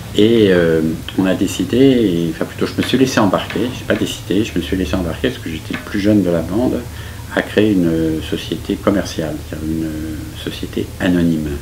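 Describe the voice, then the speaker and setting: Over noticeable background noise and audible room echo, a man with a very deep, low pitch speaks at a moderate pace with ordinary pitch variation. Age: 70s. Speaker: architect. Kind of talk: interview. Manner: hesitant, many fillers.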